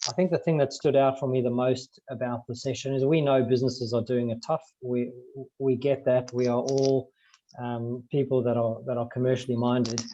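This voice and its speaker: Speaking fairly quickly with a South African accent, a man uses a dark, mellow tone at a medium pitch with monotone, flat intonation. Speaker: business advisory partner. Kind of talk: panel discussion.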